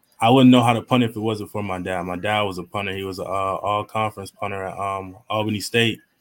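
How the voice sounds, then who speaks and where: The man's voice is fairly low-pitched and monotone, with flat intonation. He talks at a fairly quick pace. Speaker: college football punter. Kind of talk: interview. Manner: halting.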